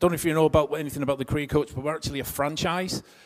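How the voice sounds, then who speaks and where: This is a man speaking with a northwest English accent. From northwest England. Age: 50s. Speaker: career coach. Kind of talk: seminar talk. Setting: stage with audience. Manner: conversational.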